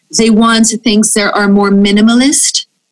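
This woman has a fairly high voice that is somewhat breathy. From Brazil. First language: Portuguese. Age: 30s. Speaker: fashion magazine editor. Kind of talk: interview.

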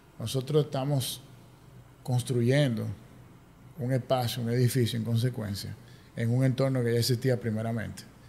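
Dark and mellow in tone, a man's voice is somewhat breathy. His pitch is medium. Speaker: architect. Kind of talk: casual interview. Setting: office.

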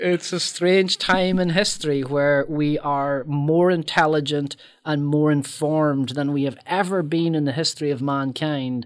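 A man in a Northern Irish accent, fairly high-pitched, at a fairly slow pace with hardly any pauses and fairly even intonation, on a very clean recording with a silent background. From Northern Ireland. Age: 50s. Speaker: filmmaker and author. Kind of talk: casual chat.

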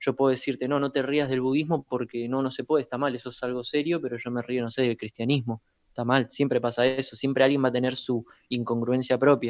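With a Rioplatense accent, a man rattles off words at a very fast pace in a medium pitch, his intonation flat and monotone. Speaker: podcast co-host, producer. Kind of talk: casual chat.

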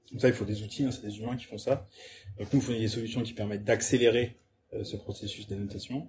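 A somewhat breathy man talks at a very fast pace. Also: medium pitch for a man, fairly even intonation. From France, Avignon. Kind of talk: casual chat. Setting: startup incubator premises, Toulouse.

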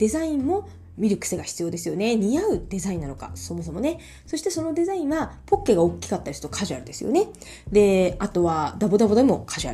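The speech moves at a very fast pace. Its loudness swings widely. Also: woman. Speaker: image consultant. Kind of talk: solo podcast talk.

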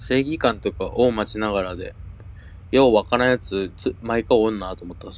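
An unremarkable speaking voice from a man, fairly low in pitch, at a moderate pace, with ordinary pitch variation and big swings in loudness. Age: 20s. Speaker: theatre director. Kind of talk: casual chat.

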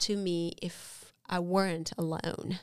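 A woman's medium-pitched voice with a Romanian accent, ordinary pitch variation and a very slow pace. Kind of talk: testimony. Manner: halting.

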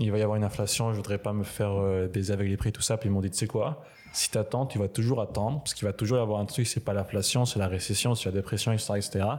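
A man talks at a very fast pace. His fairly low voice keeps fairly even intonation. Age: 20s. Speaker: university student. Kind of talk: casual chat.

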